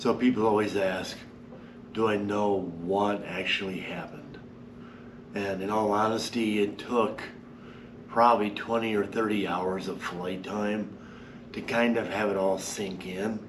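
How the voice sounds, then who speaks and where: In a room with audible echo and noticeable background noise, a man speaks fairly slowly at a fairly low pitch, with a monotone, flat delivery and long, frequent pauses. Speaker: paramotor pilot recovering from an accident. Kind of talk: casual video update. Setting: empty classroom.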